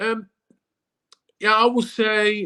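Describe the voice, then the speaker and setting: A man speaks in a raised, projected voice with a German accent. His tone is bright and sharp, and his pitch is high. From Switzerland. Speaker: former professional footballer. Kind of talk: casual interview.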